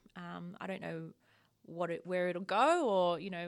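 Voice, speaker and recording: A woman speaks with an Australian accent at a medium pitch. The recording is very clean, with a silent background. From rural Victoria, Australia. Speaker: agricultural policy manager. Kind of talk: casual interview.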